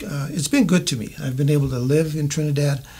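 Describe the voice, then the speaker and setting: Here a man speaks with an American accent at a moderate pace. His pitch is fairly high, with ordinary pitch variation. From US West, southern Colorado. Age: 60s. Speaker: mayoral candidate. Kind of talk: interview. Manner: halting, many fillers.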